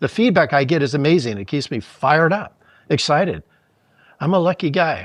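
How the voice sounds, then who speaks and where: Against a quiet background, a man with a fairly high voice and vocal fry talks at a fairly quick pace with lively intonation, broken by long, frequent pauses. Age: 70s. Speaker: surfboard shaper. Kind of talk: interview conversation. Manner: animated.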